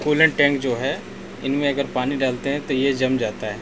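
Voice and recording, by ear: Clear background noise sits behind a man speaking at a medium pitch.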